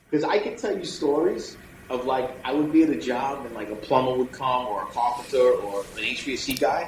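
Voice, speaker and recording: A man with a New York accent over noticeable background noise. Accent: New York City. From New York City. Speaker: electrician, business owner. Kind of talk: podcast interview answer. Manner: blunt, humorous.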